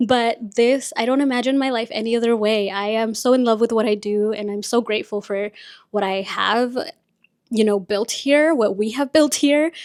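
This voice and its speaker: A woman with a Spanish accent talks at a moderate pace with fairly even intonation and a fairly high pitch. The recording is very clean, with a silent background. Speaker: podcast host and content creator. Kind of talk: casual chat. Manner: chatty.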